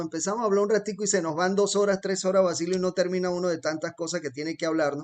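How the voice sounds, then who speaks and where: This man's voice sits high in pitch. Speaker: podcast host and rancher. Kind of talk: interview conversation.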